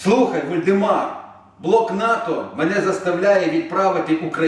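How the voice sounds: A natural voice reads, with pitch that varies in an ordinary way.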